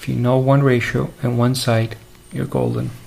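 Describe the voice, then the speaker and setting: Delivered at a fairly quick pace, the speech carries noticeable background noise. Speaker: math teacher. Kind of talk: lecture. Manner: soft-spoken.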